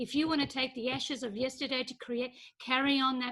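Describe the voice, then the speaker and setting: A woman projects her raised, high-pitched voice with a bright, sharp tone and fairly even intonation in a very clean recording with a silent background. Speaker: congregation member. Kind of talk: casual group discussion.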